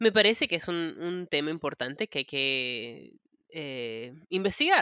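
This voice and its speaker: In a very clean recording with a silent background and a dry, close sound with no echo, a woman speaks very slowly with a very deep, low pitch and a bright, sharp tone. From Peru. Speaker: author and human rights lawyer. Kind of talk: interview. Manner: halting.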